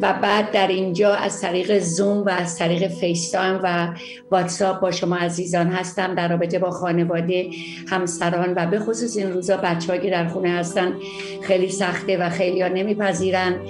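A woman's monotone, flat voice at a fairly quick pace, with audible room echo and clear music in the background. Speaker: psychologist hosting a TV segment. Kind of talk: talk show monologue. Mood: warm and friendly. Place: home room. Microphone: webcam.

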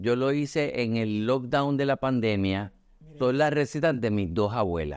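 Against a quiet background, a man talks at a moderate pace in a normal speaking voice with medium pitch. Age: 50s. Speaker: artist and communications agency owner. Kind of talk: casual chat.

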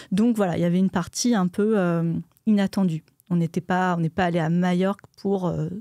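A woman with a dark, mellow tone speaks at a moderate pace, her intonation fairly even and loudness very even, in a dry sound with no echo and a quiet background. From France, Burgundy. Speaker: archaeologist and science YouTuber; science YouTuber. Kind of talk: casual interview. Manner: halting, many fillers. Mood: calm, reflective. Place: studio. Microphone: studio mic.

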